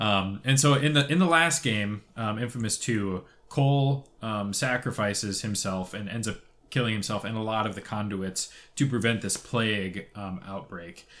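A man speaks in a normal speaking voice at a fairly low pitch and a moderate pace, with ordinary pitch variation. The recording is very clean, with a silent background. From Canada, Toronto. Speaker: video game podcast co-host. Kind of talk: casual chat. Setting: studio.

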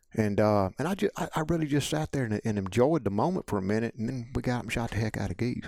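Speech in a Mississippi accent races at a very fast pace with hardly any pauses and lively intonation. The sound is dry and close, with no echo. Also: man, medium pitch for a man. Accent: Southern US (Mississippi). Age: 50s. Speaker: waterfowl hunting guide. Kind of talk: casual chat.

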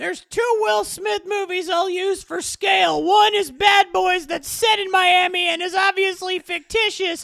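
In a put-on character voice, the speaker shouts at an extremely high pitch, at a moderate pace with hardly any pauses. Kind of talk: comic overacting. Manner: enraged, profane, ranting.

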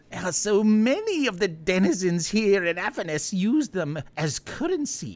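A put-on character voice, female-sounding and medium in pitch, with hardly any pauses. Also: moderate pace. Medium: actual play. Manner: overly sweet, fawning.

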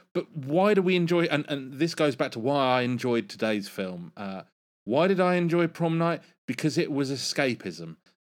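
In a very clean recording with a silent background, a man with an English accent speaks at a moderate pace, his pitch swinging very widely. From England. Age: 40s. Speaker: guitar podcast host. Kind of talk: casual chat. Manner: laughs often.

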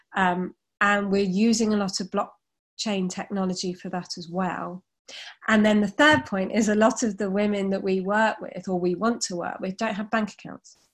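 A woman talks at a moderate pace with a medium pitch and fairly even intonation. Her voice is somewhat breathy, and the recording is very clean with a silent background. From England, family from Liverpool. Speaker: charity founder and CEO. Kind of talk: casual interview.

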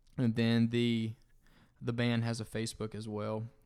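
On a very clean recording with a silent background, a man talks with a Southern US accent. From US South, North Florida. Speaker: singer-songwriter. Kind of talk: casual chat.

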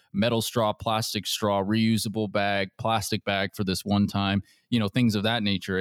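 With an American accent, a man talks at a fairly quick pace in a monotone, flat intonation, hardly any pauses and very even loudness, on a very clean, dry, close recording with a silent background and no echo. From US Pacific Northwest, Seattle area. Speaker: podcast host. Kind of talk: interview.

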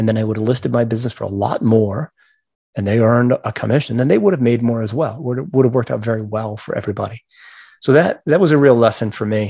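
The tone is dark and mellow, with ordinary pitch variation. The pace is very fast. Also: man, medium pitch for a man. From Maine. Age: 50s. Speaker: entrepreneur and business mentor. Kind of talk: interview. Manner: halting, many fillers and repetitions.

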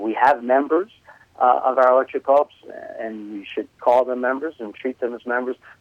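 At a fairly quick clip, a man talks with a New York accent. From New York City. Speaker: cooperative consultant. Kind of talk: casual interview.

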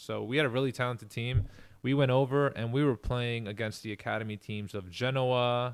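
A man with an American accent and an unremarkable speaking voice, medium in pitch, at a fairly quick pace with fairly even intonation. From New York, Queens. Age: 40s. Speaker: professional soccer player. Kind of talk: casual interview. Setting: podcast recording.

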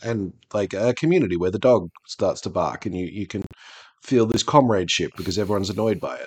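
Speaking at a fairly quick pace with an Australian accent, a man has a fairly low pitch and ordinary pitch variation. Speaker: podcast host, tabletop gamer. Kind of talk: casual chat.

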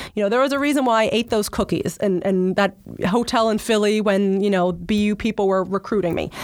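In a normal speaking voice, a woman with an American accent talks at a fairly quick pace and a fairly high pitch. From South Jersey, US. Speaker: public relations executive. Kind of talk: interview. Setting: studio.

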